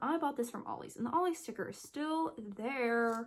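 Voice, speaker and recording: Lively intonation marks this woman's fairly high-pitched voice. She talks at a moderate pace. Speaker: book YouTuber. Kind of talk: casual book haul video.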